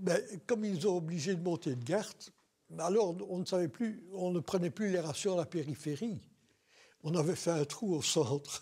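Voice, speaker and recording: The tone is dark and mellow, the pace moderate with long, frequent pauses, and the pitch varies in an ordinary way. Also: man, high pitch for a man. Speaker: war veteran. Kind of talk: oral history interview. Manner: hesitant, many fillers.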